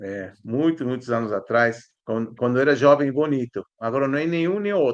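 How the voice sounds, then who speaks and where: A man with an Argentine accent speaks at medium pitch with lively intonation. He keeps a moderate pace with hardly any pauses. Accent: good Portuguese pronunciation, Argentine. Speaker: historian and archaeology professor. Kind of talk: interview conversation.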